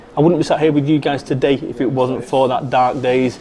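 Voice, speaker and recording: Over noticeable background noise, a man with a Mancunian accent talks at a very fast pace. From northern England, Salford, Manchester. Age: 40s. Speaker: motivational speaker. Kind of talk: interview. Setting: cafe. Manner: animated.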